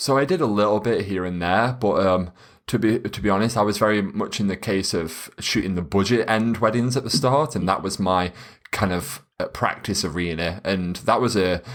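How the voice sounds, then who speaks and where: A man with a British accent, fairly low-pitched, at a moderate pace with ordinary pitch variation, in a very clean recording with a silent background. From UK. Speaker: wedding photographer. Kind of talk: podcast interview. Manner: loud, excitable.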